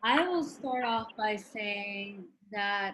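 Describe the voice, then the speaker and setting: Audible room echo surrounds a woman whose voice is pitched fairly high. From New York City, Puerto Rican family. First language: Spanish. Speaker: physician. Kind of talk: panel talk.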